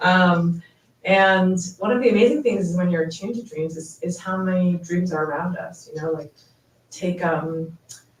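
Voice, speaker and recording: A woman's fairly low, somewhat breathy voice with ordinary pitch variation. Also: moderate pace. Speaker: poet. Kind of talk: author talk at book event; poetry reading. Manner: casual, with many fillers.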